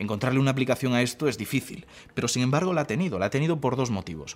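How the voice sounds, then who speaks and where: Very fast, lively speech from a man at a medium pitch, with music in the background. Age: 20s. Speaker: science communicator. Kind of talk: interview.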